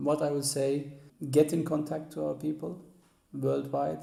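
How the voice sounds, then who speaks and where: A man's fairly high voice amid audible room echo. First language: Assyrian Neo-Aramaic. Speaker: author and music historian. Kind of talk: interview. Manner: halting, many hesitations.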